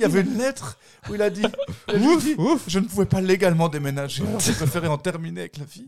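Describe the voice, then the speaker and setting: A man talks at a very fast pace in a high pitch, with lively intonation. His loudness swings widely, and he takes long, frequent pauses. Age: 30s. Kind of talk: casual chat.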